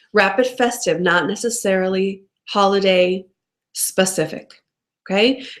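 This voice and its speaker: In an animated tone, a woman speaks at a medium pitch with ordinary pitch variation. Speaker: direct sales consultant coach. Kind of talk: live-streamed training talk. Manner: fast.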